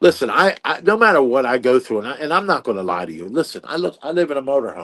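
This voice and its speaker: A man speaks at a very fast pace with vocal fry and very wide pitch swings. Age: 60s. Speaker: competitive eater and author. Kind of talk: interview. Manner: halting, many fillers.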